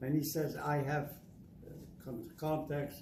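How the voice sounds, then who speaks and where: A man's fairly high-pitched voice at a very slow pace, with audible room echo. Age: 80s+. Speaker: Holocaust survivor and war veteran. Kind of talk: testimony. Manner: halting.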